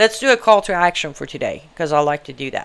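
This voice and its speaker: A woman with an Iranian accent has a bright, sharp tone, medium pitch and ordinary pitch variation. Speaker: political talk show host, human rights activist. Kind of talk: live online talk show monologue. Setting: live stream studio. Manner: animated, conversational; halting, with fillers.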